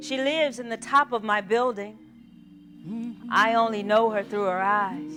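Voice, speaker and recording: Music plays in the background as a woman speaks at a fairly high pitch with lively intonation. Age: young. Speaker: spoken word artist. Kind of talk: live spoken word poetry performance.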